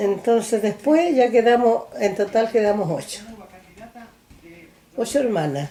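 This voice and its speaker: A woman at a fairly slow pace, with lively intonation, long and frequent pauses, and noticeable background noise. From rural central Chile (San Clemente, Maule). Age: 80s+. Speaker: elderly interviewee recounting life story. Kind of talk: oral history interview. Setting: recorded interview on video camera.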